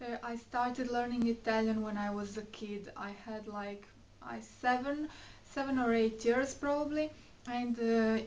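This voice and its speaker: A woman with a Croatian accent talks at a fairly slow pace, her pitch fairly high. Her intonation stays fairly even, and there is noticeable background noise. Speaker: beauty and fashion vlogger. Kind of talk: casual vlog chat. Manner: hesitant, many fillers.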